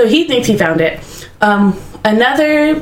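A woman is heard with audible room echo. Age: 20s. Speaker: podcast co-host. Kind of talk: casual storytelling chat.

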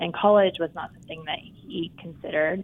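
A woman with an American accent uses a normal speaking voice. She talks at a fairly quick pace with fairly even intonation. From eastern Oklahoma, small town. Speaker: bank CEO. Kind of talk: interview.

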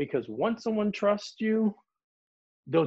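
An American accent marks this man's speech, which swings very widely in pitch. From Philadelphia, South Philly. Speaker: student athlete advocate, doctoral candidate. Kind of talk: podcast interview. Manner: hesitant fillers (um, uh).

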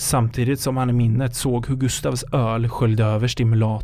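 The speaker is doing plain reading aloud. Intonation is fairly even.

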